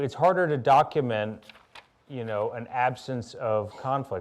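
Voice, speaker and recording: With an American accent and ordinary pitch variation, the speaker uses a plain, everyday voice. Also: man. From US South, Louisiana and Birmingham, Alabama. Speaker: author. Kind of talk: public conversation.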